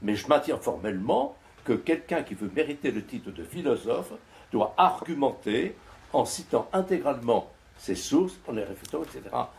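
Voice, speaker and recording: With a French accent, a man with a fairly high voice and vocal fry talks at a fairly quick pace, his pitch swinging very widely and his loudness shifting a lot. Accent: native French. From France. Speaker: philosopher and author. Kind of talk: panel discussion reply. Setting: stage with audience.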